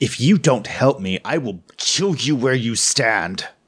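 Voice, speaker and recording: Growling in a put-on character voice, a man speaks at a medium pitch and a fairly slow pace with very wide pitch swings. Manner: growling, menacing.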